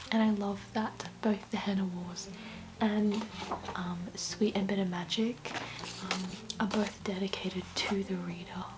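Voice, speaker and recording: Whispering and soft-spoken, the speaker goes at a fairly slow pace with long, frequent pauses. Background noise is noticeable. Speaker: book vlogger. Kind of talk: casual vlog talk to camera. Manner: hesitant with many fillers; soft-spoken, whispering.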